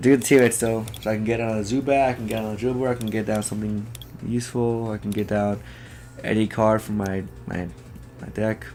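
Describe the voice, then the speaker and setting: Over music in the background, a man with a fairly low pitch speaks very fast in a flat monotone. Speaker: gaming YouTuber. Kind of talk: gameplay commentary. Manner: halting, self-correcting.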